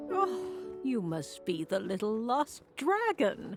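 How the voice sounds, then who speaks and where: A female-sounding voice does a put-on character voice at medium pitch and a fairly slow pace, with clear music in the background. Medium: video game. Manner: grand, dignified.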